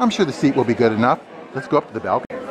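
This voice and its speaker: A man is talking. Crowd noise fills the background. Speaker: vlogger touring venue. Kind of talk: casual vlog chat. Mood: admiring, enthusiastic. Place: hall. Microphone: phone near.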